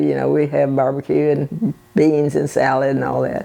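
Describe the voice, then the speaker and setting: A voice with a Texan accent comes through over noticeable background noise. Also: woman. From Bay City, Texas. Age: 80s+. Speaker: birdwatcher. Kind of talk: interview answer.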